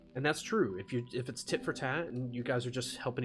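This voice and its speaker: With music in the background, a man of medium pitch talks at a very fast pace with ordinary pitch variation. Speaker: streamer. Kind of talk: reading aloud with casual commentary. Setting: live stream. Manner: halting, repetitive filler.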